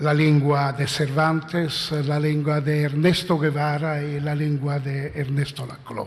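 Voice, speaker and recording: In an Italian accent, the speech comes very slowly and in a flat monotone, with hardly any pauses. Noticeable background noise and audible room echo fill the recording. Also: man, fairly high pitch for a man. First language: Italian (speaking Spanish). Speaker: philosopher. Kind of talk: conference talk. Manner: halting.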